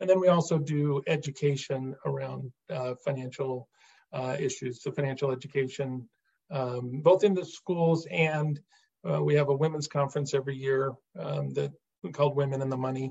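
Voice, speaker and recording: Somewhat breathy, a man with an American accent speaks at a moderate pace, with fairly high pitch and ordinary pitch variation. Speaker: state treasurer, former investment manager. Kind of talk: interview, explaining policy.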